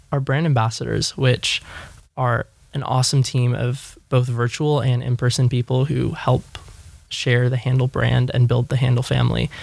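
A man with a Californian accent, medium in pitch, monotone and flat, at a moderate pace. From Los Angeles. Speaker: startup executive. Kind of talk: interview.

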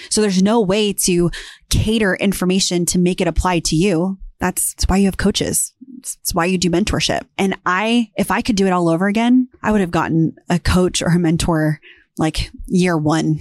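A woman's ordinary speaking voice at medium pitch and moderate pace, with a dry, close sound and no echo. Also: ordinary pitch variation, very even loudness. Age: 30s. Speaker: real estate entrepreneur and YouTuber. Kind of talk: personal story monologue. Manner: candid, conversational.

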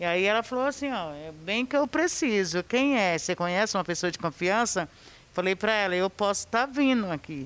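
A woman talks at a fairly quick pace and medium pitch with very wide pitch swings, on a very clean recording with a silent background. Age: 40s. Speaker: cleaner and painter. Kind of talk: testimony.

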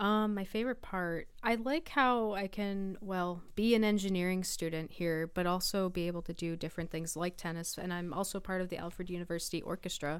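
At a fairly quick pace with hardly any pauses, a woman speaks in an ordinary speaking voice of medium pitch with ordinary pitch variation. The recording is very clean, with a silent background. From US, western New York (East Aurora near Buffalo). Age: 20s. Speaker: college student athlete. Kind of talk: casual chat. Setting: radio studio.

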